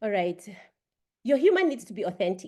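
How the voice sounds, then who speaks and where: Her voice is fairly high-pitched, and this woman's tone is dark and mellow. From Kenya, Kiambu. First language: a Kenyan language, not English. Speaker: Toastmasters session leader. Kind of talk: humor workshop talk.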